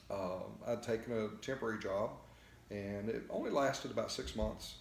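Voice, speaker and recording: A man talks in a Texan accent at a moderate pace. Audible room echo is present. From Texas. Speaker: float therapy business owner. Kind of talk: interview. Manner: halting, many fillers.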